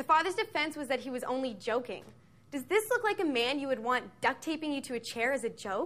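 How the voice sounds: Lively in intonation, a woman with a high pitch and a fairly bright tone talks at a fairly quick pace.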